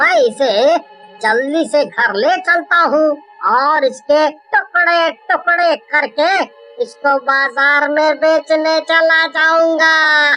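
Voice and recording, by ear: A cartoonish character voice speaks at a very slow pace over faint music in the background.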